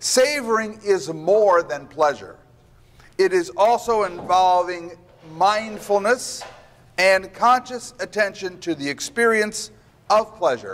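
At a very slow pace, a man speaks in a high voice over light background noise. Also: ordinary pitch variation. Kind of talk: lecture. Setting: stage with audience. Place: hall. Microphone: lapel.

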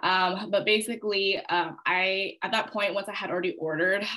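Over a quiet background, a woman with a bright, sharp tone talks at a fairly quick pace with ordinary pitch variation. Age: 20s. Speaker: network marketing promoter; guest. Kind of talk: testimony. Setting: video call. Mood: candid, animated storytelling. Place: home room. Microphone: video call.

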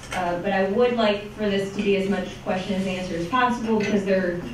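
A woman speaks with fairly even intonation, with audible room echo and light background noise. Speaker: elections lawyer giving a talk. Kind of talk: lecture. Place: meeting room.

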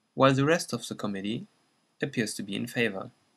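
A man with a slight German accent talks at a fairly quick pace. His medium pitch has vocal fry and ordinary pitch variation. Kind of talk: educational explainer narration.

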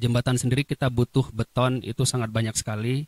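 Flat and monotone, a man speaks at a moderate pace. The sound is dry with no echo, over a quiet background. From Indonesia. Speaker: webinar moderator. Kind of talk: formal event moderating. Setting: video call. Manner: formal. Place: studio. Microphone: handheld.

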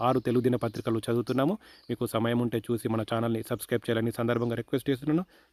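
A man with a medium pitch and a dark, mellow tone, recorded very cleanly against a silent background, with a dry, close sound and no echo. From India, Telangana (Rajanna Sircilla district). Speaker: vlogger. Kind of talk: casual vlog interview.

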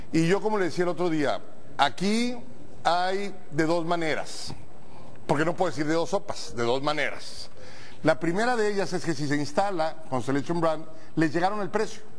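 A man's high voice at a moderate pace, with ordinary pitch variation and long, frequent pauses. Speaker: TV program host. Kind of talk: talk show opening commentary. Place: studio.

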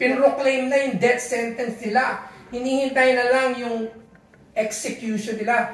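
Audible room echo follows a man who speaks at a moderate pace with a Filipino accent. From Philippines. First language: Tagalog. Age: 60s. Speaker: pastor. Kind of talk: sermon. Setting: church. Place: home room. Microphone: camera far.

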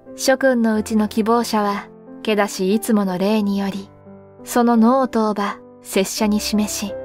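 A woman's fairly high voice at a fairly slow pace, with fairly even intonation and music in the background. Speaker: sleep story reader. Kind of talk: sleep story reading, calm literary narration.

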